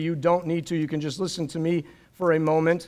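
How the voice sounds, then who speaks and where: Here a man talks at a fairly quick pace in a high pitch. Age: 50s. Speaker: guest preacher. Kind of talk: sermon. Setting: church service with live audience.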